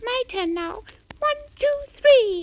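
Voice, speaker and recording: In a put-on character voice, a female-sounding speaker squeaks at an extremely high pitch. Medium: read story.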